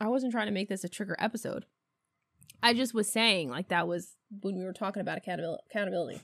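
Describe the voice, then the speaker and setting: A woman with an American accent talks very fast at a medium pitch with ordinary pitch variation and vocal fry, on a very clean recording with a silent background and a dry, close sound with no echo. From US, upstate New York (518 area). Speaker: podcast co-host. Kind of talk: casual chat. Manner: laughs often.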